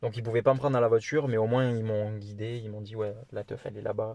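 A man speaks at a medium pitch with monotone, flat intonation. The background is quiet. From France, Toulouse. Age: 20s. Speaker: traveller. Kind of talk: interview.

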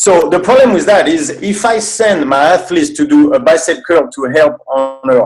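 With music playing behind, a speaker in a French accent swings the pitch very widely up and down. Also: man. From France. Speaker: movement specialist and seminar coach. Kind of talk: casual interview chat.

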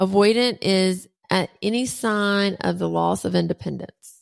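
Talking at a fairly slow pace, a woman with a Southern US accent keeps her loudness very even. The recording is very clean, with a silent background. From US South, Alabama. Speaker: podcast host. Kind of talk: casual interview.

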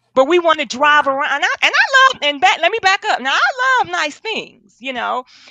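A woman at a moderate pace, enthusiastic in tone, with very wide pitch swings. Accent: American. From Milwaukee, Wisconsin. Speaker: financial coach and accountant. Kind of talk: interview.

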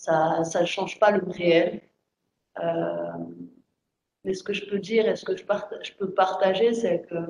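A woman at a very slow pace, long, frequent pauses and big swings in loudness. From France. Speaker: writer. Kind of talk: panel discussion. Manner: halting.

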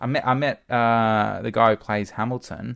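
A man speaks with an Australian accent and ordinary pitch variation. The recording is very clean, with a silent background. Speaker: former radio broadcaster. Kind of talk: casual interview. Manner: halting.

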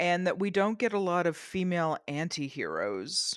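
A woman with a Canadian accent has an unremarkable speaking voice, fairly low in pitch, with ordinary pitch variation. The recording is very clean and dry, close with no echo, against a silent background. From rural eastern Canada. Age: middle-aged. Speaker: novelist. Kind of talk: interview. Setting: studio.

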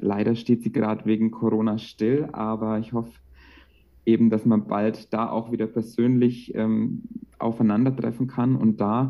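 This man has a normal speaking voice at a medium pitch, talking at a fairly slow pace with ordinary pitch variation. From Franconia, Bavaria (Bamberg). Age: 20s. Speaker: childcare worker and meditation coach. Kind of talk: casual interview.

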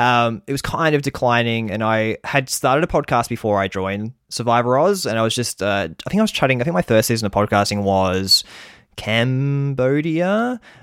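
With an Australian accent, a man speaks at a moderate pace and medium pitch. His intonation is lively, and the recording is very clean with a silent background. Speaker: survivor podcaster. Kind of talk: casual chat.

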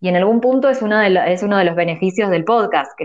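A woman with an Argentine accent speaks at a medium pitch with ordinary pitch variation. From Argentina. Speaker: journalist. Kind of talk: casual chat. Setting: audio chat room online.

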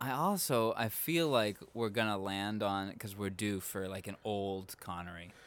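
On a very clean recording with a silent background, a man speaks at a fairly slow pace with fairly low pitch and ordinary pitch variation. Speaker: podcast host. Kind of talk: casual chat. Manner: loud.

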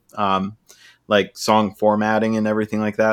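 A man with an American accent speaks at a fairly quick pace in a fairly low pitch. The recording is very clean, with a silent background. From San Diego, California. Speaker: singer and guitarist in a band. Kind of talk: casual chat.

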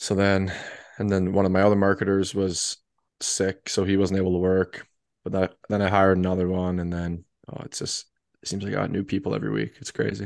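Against a quiet background, a man speaks fairly quickly in a very deep, low pitch with monotone, flat intonation. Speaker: podcast co-host. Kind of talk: casual chat.

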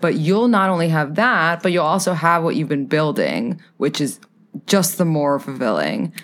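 A woman's plain, everyday voice, fairly low in pitch, with an American accent, lively intonation, a moderate pace and very even loudness, in a very clean recording with a silent background. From New York City. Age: 20s. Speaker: podcaster and dating advisor. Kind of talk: casual chat.

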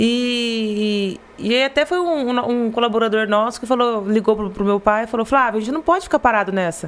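With a fairly high pitch and ordinary pitch variation, a woman talks at a moderate pace. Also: hardly any pauses. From Brazil, Garça (São Paulo state interior). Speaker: marketing director of family company. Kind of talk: casual interview. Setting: live podcast studio. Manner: halting, repeats words.

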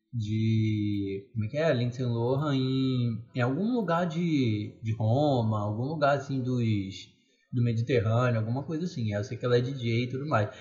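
A somewhat breathy man's voice of medium pitch, fairly slow in pace, with ordinary pitch variation. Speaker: podcast co-host. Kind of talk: casual chat.

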